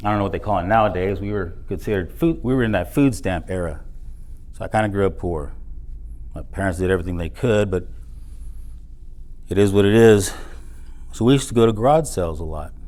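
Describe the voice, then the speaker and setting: With audible room echo, a man with a fairly low pitch and a dark, mellow tone talks at a very fast pace, with ordinary pitch variation and long, frequent pauses. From South Texas border, Edinburg; later North Texas. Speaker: motivational speaker. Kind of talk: motivational speech. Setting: stage with audience.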